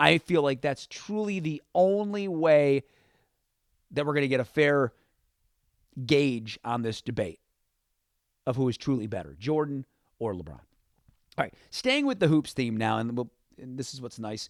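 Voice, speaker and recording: A man with an American accent talks at a moderate pace with lively intonation. He leaves long, frequent pauses, and the sound is dry and close with no echo. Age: 30s. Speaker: sports radio host. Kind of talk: sports talk radio show. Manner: conversational, opinionated.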